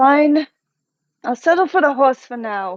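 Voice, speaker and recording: Here is a put-on character voice, high-pitched and whiny. It moves at a moderate pace. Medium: actual play. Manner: whiny, calls partner darling.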